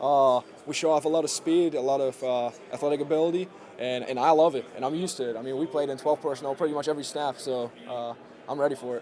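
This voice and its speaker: Speaking very fast, a man with a German accent keeps his intonation fairly even. His pitch is fairly high. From Germany. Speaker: college football player. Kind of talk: press conference interview. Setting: podium with media. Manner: halting, many fillers.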